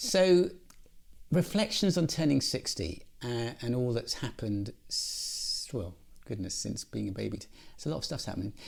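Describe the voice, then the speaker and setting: A man speaks with a British accent. His loudness swings widely. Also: moderate pace. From England. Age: 60s. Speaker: podcast host. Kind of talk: casual chat.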